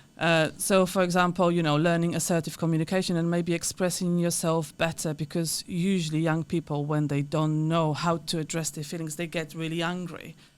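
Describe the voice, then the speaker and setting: With a Polish accent, a woman talks at a fairly quick pace in a fairly low pitch and a monotone, flat intonation on a very clean recording with a silent background. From Poland. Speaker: counselor and therapist. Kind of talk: podcast interview.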